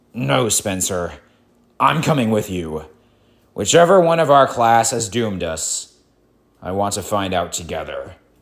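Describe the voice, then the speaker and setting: A man puts on a character voice with a fairly low pitch. He speaks at a moderate pace and leaves long, frequent pauses. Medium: read story. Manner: haughty.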